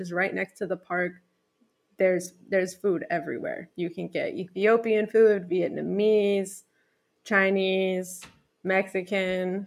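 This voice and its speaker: With an American accent, a woman speaks at a moderate pace and with fairly even intonation. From US, rural Pennsylvania. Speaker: travel guest, former Philadelphia resident. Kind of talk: casual interview.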